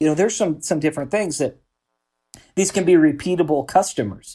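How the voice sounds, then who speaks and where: In a very clean recording with a silent background, a man talks at a very fast pace, somewhat breathy, with a dark, mellow tone. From Oregon, US Pacific Northwest. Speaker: real estate investor and business owner. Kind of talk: interview.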